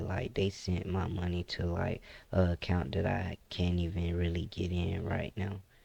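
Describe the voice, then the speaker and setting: The voice has a relaxed, dark, mellow tone and fairly even intonation at a moderate pace. The recording is very clean, with a silent background. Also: man. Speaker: gaming YouTuber. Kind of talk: casual gameplay commentary. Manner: mellow, relaxed.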